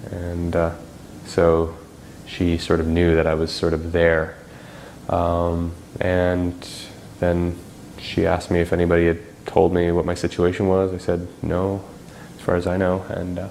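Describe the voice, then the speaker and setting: Speaking at a fairly slow pace with long, frequent pauses, a man uses a very deep, low pitch. His monotone, flat intonation carries audible room echo. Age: 30s. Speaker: spinal cord injury survivor. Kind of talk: documentary interview testimony. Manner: halting, many fillers.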